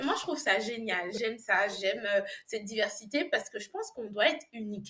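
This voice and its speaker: Swinging widely in loudness, a woman speaks at a fairly quick pace and a fairly high pitch with lively intonation. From Côte d'Ivoire and France. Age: young. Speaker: English business language coach. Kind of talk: interview.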